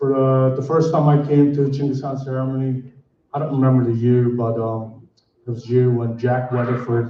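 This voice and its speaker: A man talks at medium pitch in a monotone, flat intonation. Audible room echo surrounds his voice. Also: moderate pace. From Mongolia, Khentii province. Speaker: community member speaker. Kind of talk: ceremony speech. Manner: halting.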